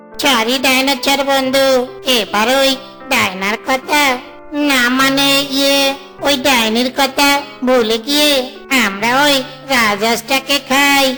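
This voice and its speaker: Over clear background music, a cartoonish character voice speaks at a fairly slow pace. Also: female-sounding voice. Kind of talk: comic cartoon voice acting. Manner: wheedling, cheeky.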